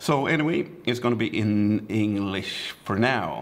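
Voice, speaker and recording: Pitch swinging very widely, with clear noise in the background. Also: man. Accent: Swedish. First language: Swedish. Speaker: photographer and vlogger. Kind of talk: casual vlog.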